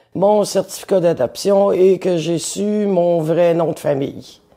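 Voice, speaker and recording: Pitch variation here is ordinary. The tone is dark and mellow. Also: woman. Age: 60s. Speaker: interviewee telling life story. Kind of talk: personal testimony. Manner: hesitant, with fillers.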